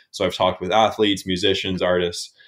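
An ordinary speaking voice comes through with a Canadian accent. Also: man. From Canada, New Brunswick. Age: 20s. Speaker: podcast host. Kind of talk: interview.

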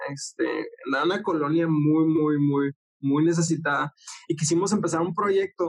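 A plain, everyday voice: a man with a fairly high pitch, moderate pace, fairly even intonation and very even loudness, in a dry, close sound with no echo. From northern Mexico (Ciudad Juárez, Chihuahua). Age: 20s. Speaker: church program director. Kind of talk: casual interview.

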